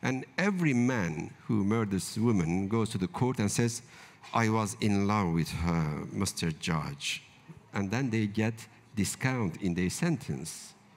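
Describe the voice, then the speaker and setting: A man's fairly low voice with lively intonation, at a very slow pace. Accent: Turkish. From central Turkey, rural village. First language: Kurdish. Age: 50s. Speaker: novelist. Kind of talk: literary panel discussion. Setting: stage with live audience. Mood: earnest, questioning. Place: tent. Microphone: handheld.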